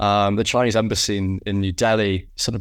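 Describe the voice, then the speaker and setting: On a very clean recording with a silent background, a man with a British accent speaks at a fairly quick pace. His pitch is fairly low and his intonation fairly even. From UK. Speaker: podcast host. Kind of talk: casual chat; scripted narration.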